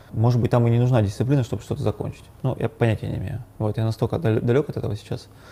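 This man talks at a very fast pace, his medium pitch showing ordinary variation. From Yekaterinburg, Russia. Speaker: coffee shop owner and barista trainer. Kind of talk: casual interview.

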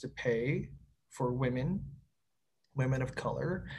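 A man with a Canadian accent and a fairly high, somewhat breathy voice speaks fairly slowly with fairly even intonation, with audible room echo around him. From Winnipeg, Manitoba, Canada. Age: 30s. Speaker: city planner. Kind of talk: casual conversation. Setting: video call.

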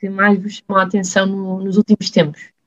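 A woman speaks at a moderate pace in a somewhat breathy voice. The sound is dry and close, with no echo. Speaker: student podcast host. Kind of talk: casual chat.

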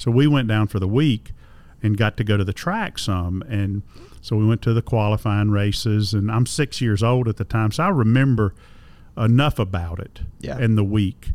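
A man speaks with a North Carolina accent at a fairly low pitch. His pace is moderate, and his pitch varies in an ordinary way. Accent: Southern US (North Carolina). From US South, Concord, North Carolina. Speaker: motorsport radio broadcaster and museum director. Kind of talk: casual interview chat. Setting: on location at a museum.

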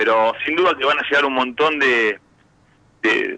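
An ordinary speaking voice, pitch variation ordinary. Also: man. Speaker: football club director. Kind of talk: radio interview.

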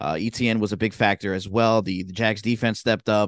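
An ordinary speaking voice with an American accent moves at a fairly quick pace, dry and close with no echo against a quiet background. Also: man. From Southern New Jersey. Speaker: sports podcast co-host. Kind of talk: casual chat.

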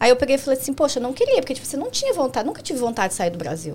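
Over noticeable background noise, a woman's high voice swings very widely in pitch. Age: 20s. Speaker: nail technician. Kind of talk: casual chat.

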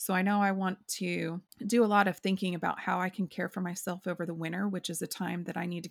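On a very clean recording with a silent background, a woman with an unremarkable speaking voice talks at a moderate pace, her fairly low pitch carrying fairly even intonation. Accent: American. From rural Oklahoma. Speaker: podcast co-host. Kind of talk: casual chat.

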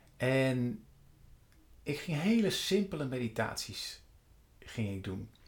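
Somewhat breathy and very slow, a man speaks with very wide pitch swings and long, frequent pauses. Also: medium pitch for a man. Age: 50s. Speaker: meditation coach. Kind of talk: monologue. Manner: halting.

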